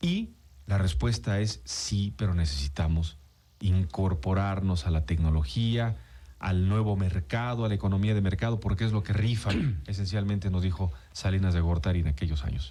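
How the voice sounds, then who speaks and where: Very deep and low in pitch, a man speaks at a moderate pace with ordinary pitch variation and very even loudness. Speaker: radio host. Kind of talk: radio interview host talk.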